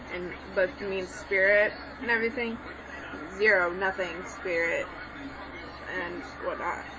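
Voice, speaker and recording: The woman's intonation is fairly even while noticeable background noise runs underneath. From Mexican background. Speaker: online language tutor. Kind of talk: tutorial. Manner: casual, hesitant with many fillers.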